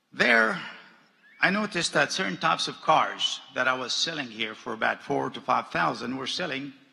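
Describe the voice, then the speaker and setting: Noticeable background noise runs behind a man with a fairly high pitch. He talks at a moderate pace with lively intonation. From Jordan. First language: Arabic. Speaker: businessman. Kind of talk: commencement speech.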